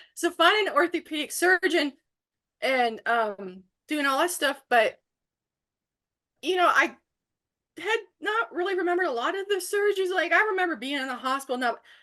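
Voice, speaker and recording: In an extremely high pitch, a woman uses a raised, projected voice with a bright, sharp tone, very wide pitch swings, and long, frequent pauses. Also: moderate pace. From Canada, Ontario. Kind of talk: casual chat.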